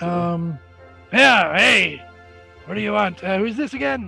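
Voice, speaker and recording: A man's gravelly put-on character voice, high-pitched with very wide pitch swings, at a very slow pace with faint music in the background. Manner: gruff, curt.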